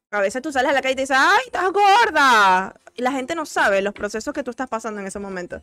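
A woman's very fast, raised and projected voice, high-pitched, bright and sharp, with very wide pitch swings. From Venezuela. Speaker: doctor, recurring guest. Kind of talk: casual chat.

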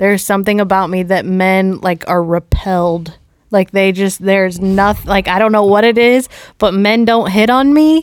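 A woman speaks in a plain, everyday voice at a medium pitch, with ordinary pitch variation. Her pace is moderate and her loudness very even. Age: 30s. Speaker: podcast host and comedian. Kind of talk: casual chat.

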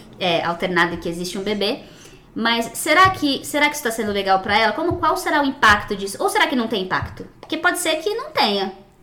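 A woman with a fairly high voice speaks fairly quickly, her pitch swinging very widely, against noticeable background noise. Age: 30s. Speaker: digital marketing professional and mother. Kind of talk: casual chat.

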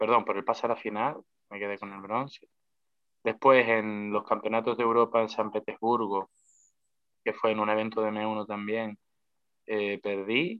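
The delivery runs at a moderate pace in a monotone, flat intonation, broken by long, frequent pauses. Loudness rises and falls in big swings. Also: man, fairly low pitch for a man. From Canary Islands, La Palma. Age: 20s. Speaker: professional MMA fighter. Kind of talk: casual interview chat.

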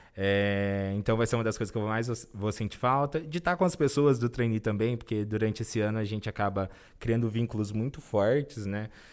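An ordinary speaking voice from a man, medium in pitch with ordinary pitch variation, at a fairly quick pace with hardly any pauses, on a very clean recording with a silent background. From interior of São Paulo state, Brazil. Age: 20s. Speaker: corporate trainee. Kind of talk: interview.

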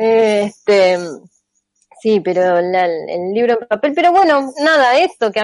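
With an Argentine accent, a woman speaks using very wide pitch swings. The sound is dry and close, with no echo. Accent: Rioplatense Argentine Spanish. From Argentina. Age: 40s. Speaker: theoretical computer scientist and author. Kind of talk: interview.

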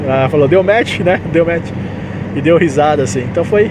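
Noticeable background noise and audible room echo surround a man's voice. He has a fairly high pitch, lively intonation and a moderate pace. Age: 30s. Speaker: podcast host, aspiring comedian and musician. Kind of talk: casual solo monologue. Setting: in a car, driving. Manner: talkative.

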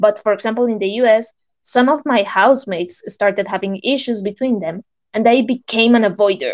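A woman with a Spanish accent speaks fairly quickly at a fairly high pitch, her pitch variation ordinary and the sound dry and close with no echo. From Colombia. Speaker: podcast co-host. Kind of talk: casual chat. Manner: scripted-sounding, slightly formal.

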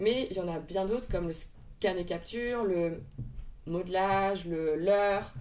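Audible room echo surrounds the recording. A woman speaks at a fairly slow pace. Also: medium pitch for a woman, ordinary pitch variation. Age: 20s. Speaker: equine ethologist and riding instructor. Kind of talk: interview.

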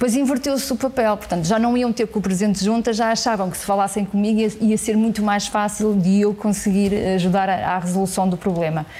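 This woman talks at a fairly quick pace with hardly any pauses, her pitch medium and her intonation fairly even. Noticeable background noise runs under her voice. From northern Portugal, Santa Maria da Feira. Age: 40s. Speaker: politician. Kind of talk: interview. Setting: parliament committee room.

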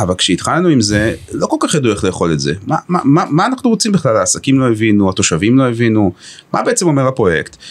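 A man talks at a very fast pace. His loudness stays very even throughout. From Israel, Haifa. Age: 50s. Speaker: chief executive of a municipal economic company. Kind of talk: podcast interview.

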